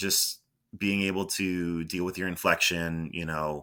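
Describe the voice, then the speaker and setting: A man with an American accent, bright and sharp in tone, on a very clean recording with a silent background. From Boston area, Massachusetts. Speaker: former college radio sports broadcaster. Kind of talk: interview. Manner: halting.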